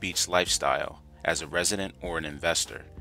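The man talks at a moderate pace. The sound is dry with no echo, and faint music plays in the background. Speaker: vlogger reviewing a local area. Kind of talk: casual vlog chat. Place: beach.

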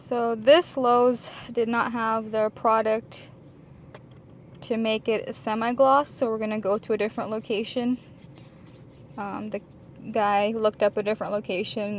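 Over light background noise, a woman speaks at a fairly slow pace with fairly even intonation in a dry sound with no echo. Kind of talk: casual vlog chat. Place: car. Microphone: phone near.

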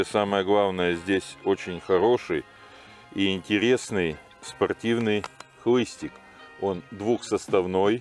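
A very slow pace, dry sound with no echo and faint music in the background. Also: man. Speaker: fishing instructor. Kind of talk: tutorial. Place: waterside. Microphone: lapel.

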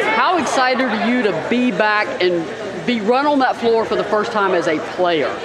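Loud background noise and a moderate pace. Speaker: interviewer. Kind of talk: casual interview Q&A. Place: gym.

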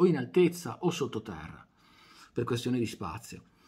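Soft-spoken and somewhat breathy, a man speaks fairly slowly with ordinary pitch variation over a quiet background. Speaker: video channel creator doing a monologue. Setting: home recording at night with microphone and camera on. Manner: unhurried, wry and self-deprecating, winding down to a quiet 'buonanotte'. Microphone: phone near.

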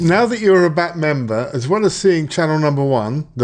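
A man's lively intonation comes through at a moderate pace, with the background quiet. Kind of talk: software tutorial narration. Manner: calm, clear.

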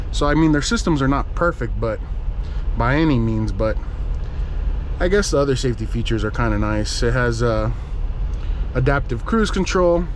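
Pausing long and often, a man speaks at a moderate pace in a dry recording with no echo and light background noise. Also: very even loudness. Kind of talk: casual vlog chat. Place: car. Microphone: camera far.

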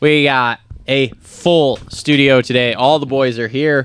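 A man speaks in a dry recording with no echo. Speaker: podcast host. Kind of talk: podcast show intro. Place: studio. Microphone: studio mic.

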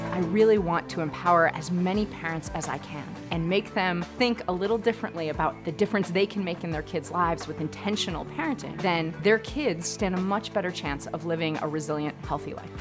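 Clear music plays in the background as a woman talks at a fairly quick pace in a fairly low pitch. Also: ordinary pitch variation, hardly any pauses. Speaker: family physician, parenting and resilience expert. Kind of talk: TV interview answer.

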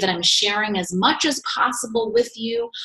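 A woman is speaking. Her pace is moderate. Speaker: team coach. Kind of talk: casual vlog chat. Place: office. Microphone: webcam.

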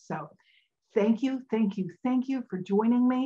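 A woman's somewhat breathy voice has a dark, mellow tone. She speaks at a moderate pace over a quiet background. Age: 70s. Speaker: health coach and podcast host; health coach, podcast host. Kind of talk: podcast monologue on health and food industry. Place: home room. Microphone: webcam.

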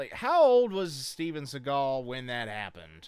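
The voice has a clear, smooth tone that is slightly mellow, with big swings in pitch. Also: man, medium pitch for a man, fairly slow pace.

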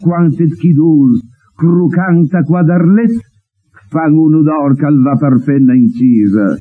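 The man's tone is dark and mellow, with a fairly high pitch. He speaks at a very slow pace. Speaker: TV presenter. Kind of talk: poetry reading in dialect.

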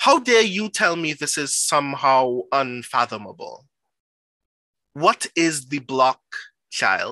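Over a quiet background, a man speaks at a very slow pace with long, frequent pauses, a fairly high pitch, very wide pitch swings and a bright, sharp tone, in a dry sound with no echo. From Trinidad and Tobago. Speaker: performance poet. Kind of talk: poetry reading. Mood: intense, rhythmic, dramatic.

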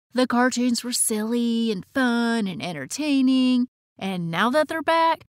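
At a moderate pace, a woman with a fairly high voice speaks in an upbeat tone with lively intonation, the sound dry with no echo over a quiet background. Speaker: voice actor. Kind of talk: nostalgic documentary-style narration. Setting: studio. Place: booth.

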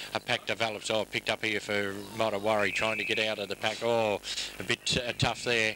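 Monotone and flat in intonation, a man with a fairly low pitch and a bright, sharp tone speaks at a fairly quick pace with very even loudness. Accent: Australian. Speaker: football commentator. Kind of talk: live commentary.

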